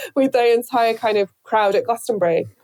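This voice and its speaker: The woman's dark, mellow voice moves at a fairly quick pace, with a dry, close sound and no echo. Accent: northern English. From Northern England. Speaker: radio presenter. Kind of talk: interview answer. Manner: hesitant, casual.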